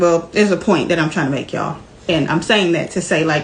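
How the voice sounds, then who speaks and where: Noticeable background noise behind a woman's voice with ordinary pitch variation. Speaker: vlogger, stay-at-home mom. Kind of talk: casual vlog talk while cooking.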